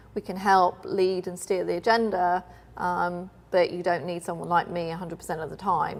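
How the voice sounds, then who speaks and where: Speaking with a British accent at a moderate pace, a woman keeps a fairly low pitch in a flat, monotone delivery. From United Kingdom. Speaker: finance consultant. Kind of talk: interview.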